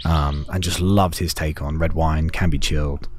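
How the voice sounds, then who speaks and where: A man with a very deep, low pitch speaks in a monotone, flat intonation over noticeable background noise. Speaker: podcast host. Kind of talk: casual chat. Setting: recorded on location in Scottsdale.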